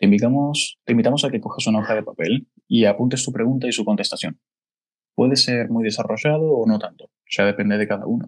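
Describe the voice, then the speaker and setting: A man at medium pitch with ordinary pitch variation, talking at a very fast pace. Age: 20s. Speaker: podcast host, business consultant. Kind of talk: casual chat.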